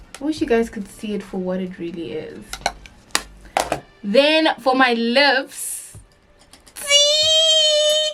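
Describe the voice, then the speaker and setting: Music plays in the background as a woman speaks very slowly at a fairly high pitch with ordinary pitch variation. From South Africa. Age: 20s. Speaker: beauty youtuber. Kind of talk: makeup tutorial vlog. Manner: casual, chatty.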